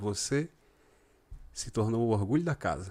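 At a fairly quick pace, a man with a medium pitch and lively intonation is heard on a very clean recording with a silent background. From Rio Grande do Norte, Brazil. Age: 40s. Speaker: cycling sales representative. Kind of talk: casual chat.

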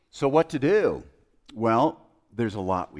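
Using vocal fry, a man speaks at a fairly slow pace with very wide pitch swings. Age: 50s. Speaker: preacher. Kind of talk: sermon.

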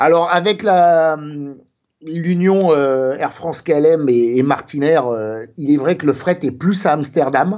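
A man's fairly high voice moves at a very slow pace, with ordinary pitch variation. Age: 50s. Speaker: aviation photographer, self-employed Apple reseller. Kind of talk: interview. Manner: hesitant, many fillers.

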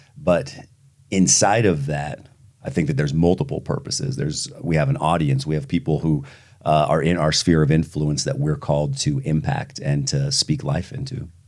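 A man with a very deep, low voice and vocal fry talks at a moderate pace, his pitch swinging very widely. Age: 30s. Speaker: pastor. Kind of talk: interview.

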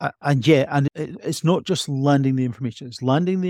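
A moderate pace and ordinary pitch variation, in an Edinburgh accent, with a dark, mellow tone and a dry, close sound with no echo. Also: man. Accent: Scottish (Edinburgh). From Scotland, Edinburgh. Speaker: emergency medicine doctor. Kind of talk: interview.

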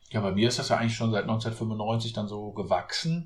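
At a moderate pace, a man speaks in a somewhat breathy voice of medium pitch. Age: 40s. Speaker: author and real estate agent. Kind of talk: podcast interview.

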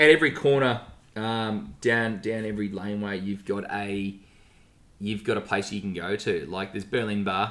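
Fairly low in pitch yet bright and sharp in tone, a man talks at a moderate pace with ordinary pitch variation. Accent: Australian. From Melbourne, Australia. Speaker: podcast co-host. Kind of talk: casual chat.

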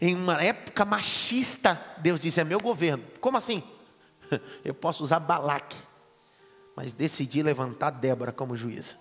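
Intonation here is lively, and the pace is moderate. Long pauses come up frequently. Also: man, fairly high pitch for a man. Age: 30s. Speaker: pastor and Bible teacher. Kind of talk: lecture. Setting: classroom with students.

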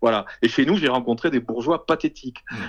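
A man with an ordinary speaking voice talks at a medium pitch with lively intonation. His pace is moderate against a quiet background. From southwest France, Toulouse area. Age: 50s. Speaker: publisher. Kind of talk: interview conversation. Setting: remote call.

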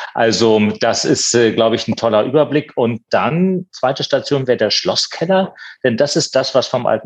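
An unremarkable speaking voice with lively intonation, a moderate pace and a dry, close sound with no echo. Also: man. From eastern Germany, Potsdam. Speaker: museum director and art historian. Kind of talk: interview.

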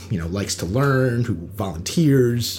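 A man's fairly low voice with lively intonation and an American accent, over noticeable background noise. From US East Coast, Long Island North Shore. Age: 20s. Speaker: educator and poet. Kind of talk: casual chat. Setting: home recording in a bedroom.

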